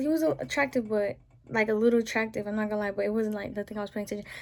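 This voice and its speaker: The recording is very clean, with a silent background. A woman speaks in an animated tone. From US South. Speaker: vlogger. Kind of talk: casual rant to camera.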